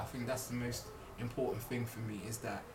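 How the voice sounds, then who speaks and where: A man talks at a medium pitch amid noticeable background noise and audible room echo. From Birmingham, England. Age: 30s. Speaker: podcast co-host. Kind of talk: casual chat.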